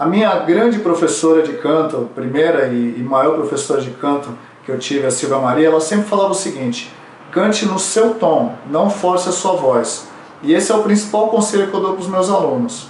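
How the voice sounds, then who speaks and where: With lively intonation and a high pitch, a man speaks amid audible room echo and noticeable background noise. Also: moderate pace. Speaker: vocal coach. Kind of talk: tutorial.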